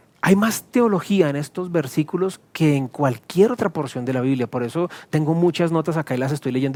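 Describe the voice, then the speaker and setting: A man speaking at a very fast pace. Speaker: pastor. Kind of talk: sermon. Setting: recorded video teaching to camera.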